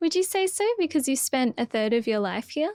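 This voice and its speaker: A woman with an Australian accent speaks with lively intonation. The sound is dry and close, with no echo. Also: very clean recording, silent background. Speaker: finance podcast co-host. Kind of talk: casual chat.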